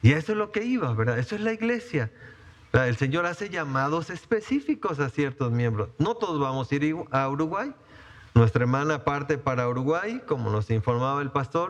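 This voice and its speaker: Pitch swings very widely throughout. The pace is fairly quick. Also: man, fairly high pitch for a man. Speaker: pastor. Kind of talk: sermon. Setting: church. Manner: halting, many fillers.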